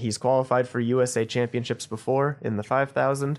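A man with an American accent in an ordinary speaking voice, medium in pitch, at a moderate pace with fairly even intonation and a quiet background. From Idaho (Boise). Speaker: journalist. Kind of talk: casual interview.

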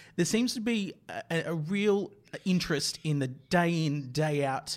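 A man with an Australian accent, ordinary pitch variation, and a very clean recording with a silent background. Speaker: news podcast host. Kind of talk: interview; scripted narration.

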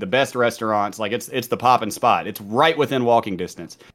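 A man's medium-pitched voice with a slight Southern US accent and fairly even intonation, on a very clean recording with a silent background. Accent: mild Southern US. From US South, college town. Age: 30s. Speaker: gamer and streamer, former prisoner. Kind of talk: casual chat.

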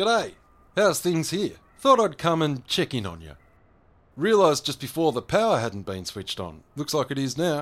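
In a very clean recording with a silent background, a man speaks with a strong Australian accent at a fairly high pitch and moderate pace. His pitch swings very widely and his loudness shifts a great deal. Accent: broad Australian. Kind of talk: scripted audio drama dialogue. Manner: gruff, blunt, hearty.

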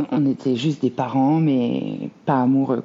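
Noticeable background noise accompanies the recording. A woman speaks at a very slow pace. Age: 30s. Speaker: single mother sharing her story. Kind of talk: interview testimony. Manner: hesitant, many fillers.

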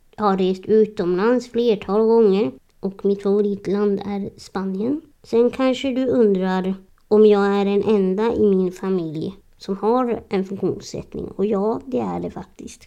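A woman speaks at a medium pitch in a dark, mellow tone. Her pace is fairly slow, with ordinary pitch variation. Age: 30s. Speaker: podcast host. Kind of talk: personal monologue.

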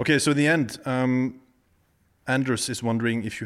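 A man talks with a Norwegian accent. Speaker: golf podcast host. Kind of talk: casual interview. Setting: in a house.

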